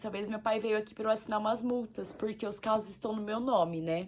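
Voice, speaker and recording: A woman at a moderate pace and a fairly high pitch, with ordinary pitch variation and noticeable background noise. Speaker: vlogger. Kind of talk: personal testimony. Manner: casual.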